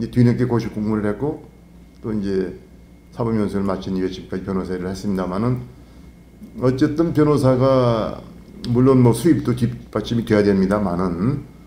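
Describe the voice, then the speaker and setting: Audible room echo surrounds a man speaking at a medium pitch in a dark, mellow tone. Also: long, frequent pauses. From Korea, North Chungcheong. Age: 60s. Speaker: lawyer and political candidate. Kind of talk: interview. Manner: formal.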